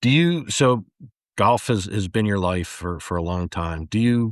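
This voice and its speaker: A man talks at a moderate pace with ordinary pitch variation in an ordinary speaking voice. The sound is dry and close with no echo, against a quiet background. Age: 50s. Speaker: podcast host. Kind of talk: podcast interview.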